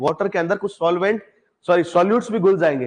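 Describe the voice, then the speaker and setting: A man's voice, pitched high. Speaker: agriculture exam tutor. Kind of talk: lecture.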